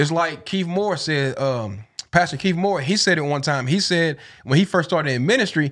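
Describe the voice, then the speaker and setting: On a very clean recording with a silent background, a man with a Southern US accent speaks at a fairly quick pace in a fairly high pitch. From East Tennessee. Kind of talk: casual interview.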